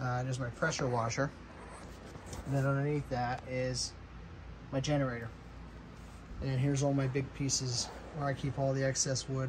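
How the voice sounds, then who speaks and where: Speaking at a moderate pace with long, frequent pauses, a man keeps a monotone, flat intonation and very even loudness over noticeable background noise. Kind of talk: casual vlog chat. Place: garage. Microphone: phone near.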